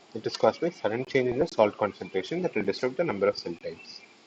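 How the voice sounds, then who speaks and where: A soft-spoken man talks with lively intonation. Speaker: teaching assistant. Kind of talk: online tutorial session. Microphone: too quiet.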